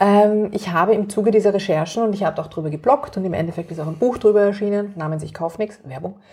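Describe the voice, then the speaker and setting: With a Viennese accent, a woman at a medium pitch speaks at a very fast pace with hardly any pauses and ordinary pitch variation over noticeable background noise. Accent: Viennese Austrian German. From Austria, Vienna. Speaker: activist and author. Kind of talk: interview.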